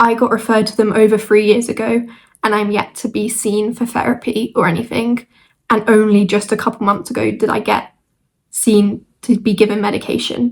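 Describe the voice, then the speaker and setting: In a fairly high, somewhat breathy voice, a woman speaks at a moderate pace with monotone, flat intonation. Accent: British. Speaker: vlogger. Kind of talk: casual chat. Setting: at home, squeaky chair. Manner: hesitant, with fillers.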